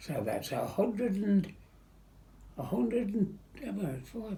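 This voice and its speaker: This is a man speaking. His pace is very slow. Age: 100s. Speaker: war veteran, former prisoner of war. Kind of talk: interview answer, recounting wartime memories.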